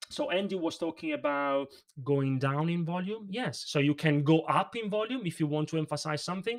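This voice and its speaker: Speaking at a fairly quick pace, a man has an Italian accent. His pitch is fairly high and varies in an ordinary way. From Italy. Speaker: presentation coach. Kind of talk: livestream interview. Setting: livestream. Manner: emphatic.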